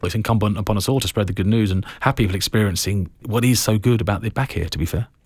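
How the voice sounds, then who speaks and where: A man's somewhat breathy, fairly low voice at a very fast pace, with ordinary pitch variation and hardly any pauses. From London, England (Harrow), Irish family from Kerry. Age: 40s. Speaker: construction company chief executive. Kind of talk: interview. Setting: studio.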